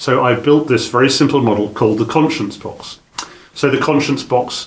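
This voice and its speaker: With a British accent, a man speaks at a moderate pace and fairly even intonation over noticeable background noise. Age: 60s. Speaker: business trainer. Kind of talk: lecture. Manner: halting.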